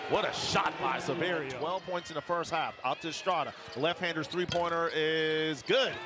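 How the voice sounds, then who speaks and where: A man's high-pitched voice at a moderate pace, with ordinary pitch variation, hardly any pauses and noticeable background noise. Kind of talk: live sports commentary. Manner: clipped, rhythmic calls that rise on made shots.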